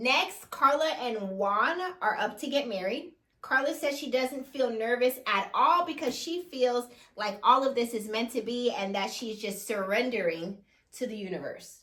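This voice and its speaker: Her voice is high-pitched with lively intonation, a woman speaking with a Jamaican accent. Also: moderate pace. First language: Jamaican Patois. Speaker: reality TV recap co-host. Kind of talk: casual chat recapping a TV episode.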